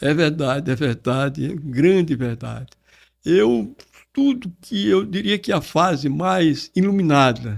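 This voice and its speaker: Very slowly, a man speaks in a fairly high voice with lively intonation. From Brazil, Alagoas (Porto Calvo). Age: 70s. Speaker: retired public prosecutor and writer. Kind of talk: podcast interview.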